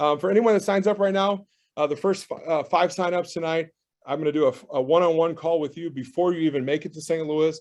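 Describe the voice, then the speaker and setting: A man talks at a very fast pace with a fairly high pitch. His pitch varies in an ordinary way, and the background is quiet. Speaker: real estate educator. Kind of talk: sales pitch. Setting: video call. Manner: animated.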